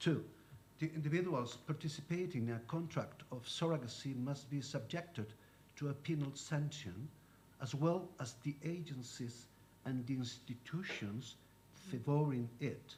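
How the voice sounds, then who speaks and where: With a Spanish accent, a man speaks in a somewhat breathy, fairly high voice at a moderate pace, using ordinary pitch variation amid audible room echo. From Spain. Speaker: lawyer. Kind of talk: conference talk. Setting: conference panel.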